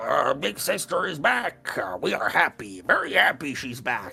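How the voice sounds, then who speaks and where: Over faint background music, a put-on character voice at a low-to-middle pitch moves along at a moderate pace. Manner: squealing turned into speech, cheerful.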